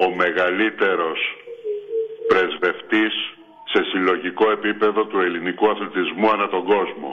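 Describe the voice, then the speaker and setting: Speaking over background music, a man keeps a fairly slow pace and a fairly low pitch in a flat monotone. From Crete, Chania. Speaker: sports fan caller. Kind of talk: call-in fan chat.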